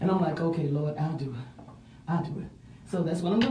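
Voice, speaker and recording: With a Mississippi accent, a woman talks very fast at a fairly low pitch with ordinary pitch variation, and audible room echo surrounds her voice. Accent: US South (Mississippi). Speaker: city council candidate. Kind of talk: interview.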